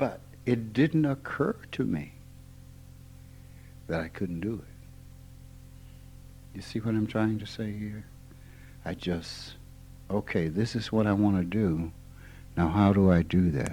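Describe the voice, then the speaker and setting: Very slow and with long, frequent pauses, a man with an American accent speaks at a fairly low pitch in a dark, mellow tone. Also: ordinary pitch variation. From Mississippi. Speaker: spiritual teacher. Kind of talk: informal spiritual talk.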